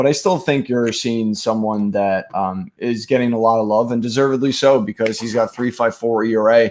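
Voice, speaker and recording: A man talks at a medium pitch with fairly even intonation. He leaves hardly any pauses. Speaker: fantasy baseball streaming host. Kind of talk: live stream sports analysis. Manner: fast; hesitant with many fillers.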